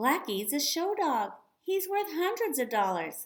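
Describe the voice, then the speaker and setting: A shrill, put-on character voice swings very widely in pitch at a moderate pace. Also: woman, high pitch for a woman. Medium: read story. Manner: fussy, doting.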